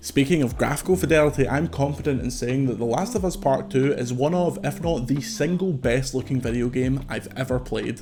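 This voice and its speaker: A man at medium pitch, fairly quick and with hardly any pauses, ordinary pitch variation, music in the background. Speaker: games reviewer. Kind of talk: video game review narration.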